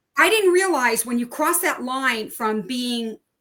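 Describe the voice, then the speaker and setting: A woman speaks in a high voice with a bright, sharp tone. Her pace is fairly slow. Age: 70s. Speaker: knitting and sewing business owner. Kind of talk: interview.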